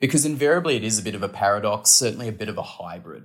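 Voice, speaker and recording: An Australian-accented man speaks at a fairly quick pace. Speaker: podcast guest, aviation policy analyst. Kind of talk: interview.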